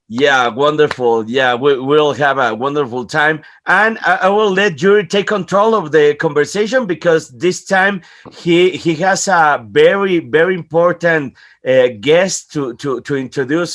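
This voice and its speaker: A man speaks at a fairly slow pace, his fairly high pitch carried by lively intonation. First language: not English. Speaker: channel host. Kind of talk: academic conversation. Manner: halting.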